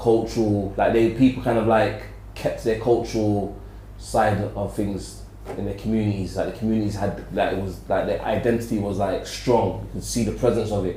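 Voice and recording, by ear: At a moderate pace, a man speaks at a fairly low pitch with fairly even intonation. Room echo is audible.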